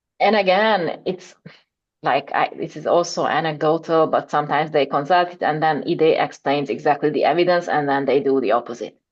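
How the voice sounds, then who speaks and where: This woman has a very deep, low pitch. She talks at a fairly quick pace. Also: ordinary pitch variation. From Hungary. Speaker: education policy researcher. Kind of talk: seminar Q&A discussion. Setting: academic seminar.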